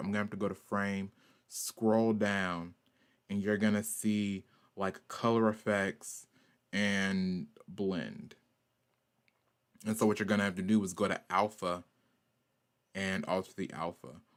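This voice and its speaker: A man with a Southern US accent talks at a fairly slow pace and fairly low pitch, with monotone, flat intonation and long, frequent pauses, in a very clean recording with a silent background. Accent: southern US country. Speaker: artist and animator streamer. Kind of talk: art stream tutorial. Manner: casual, filler-heavy.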